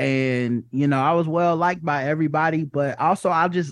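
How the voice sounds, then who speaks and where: A man's ordinary speaking voice with an American accent, fairly high in pitch and fairly even in intonation, at a moderate pace. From US South. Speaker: comedian and podcast host. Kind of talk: casual chat.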